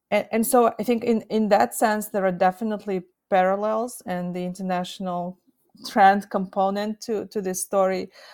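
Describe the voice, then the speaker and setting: The speaker has a Russian accent and a moderate pace. Intonation stays fairly even. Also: woman, medium pitch for a woman. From Kazakhstan. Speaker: nuclear history researcher. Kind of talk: interview.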